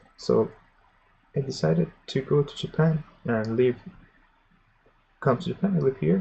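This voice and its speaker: A man with a medium-pitched, somewhat breathy voice speaks at a moderate pace, his pitch swinging very widely and his speech broken by long, frequent pauses. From Iran. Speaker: programming streamer. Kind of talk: live tutorial stream. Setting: live stream. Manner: halting.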